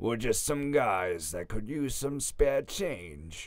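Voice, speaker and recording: A man puts on a raspy character voice at medium pitch, speaking at a very slow pace with very wide pitch swings. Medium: read story. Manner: smirking, bullying.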